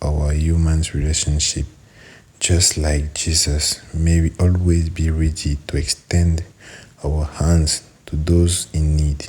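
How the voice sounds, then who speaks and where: A man speaks at a very slow pace in a very deep, low voice. His delivery is somewhat breathy. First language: French. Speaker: prayer leader. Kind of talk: prayer. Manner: halting.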